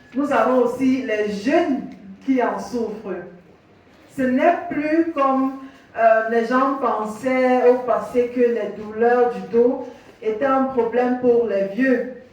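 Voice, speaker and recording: A high-pitched woman's voice at a very slow pace, fairly even in intonation, with audible room echo and noticeable background noise. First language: English (speaking French). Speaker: physiotherapist. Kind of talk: workshop presentation. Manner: halting.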